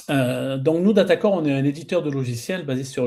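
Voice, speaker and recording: A man speaks with a southern French accent and a dark, mellow tone. His pitch is medium, with ordinary variation. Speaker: pre-sales director at software company. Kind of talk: webinar panel presentation.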